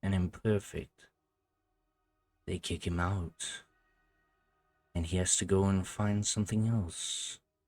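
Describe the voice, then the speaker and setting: In a put-on character voice, a man speaks with a very deep, low pitch and a calm tone. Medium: actual play. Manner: calm, intimate, persuasive.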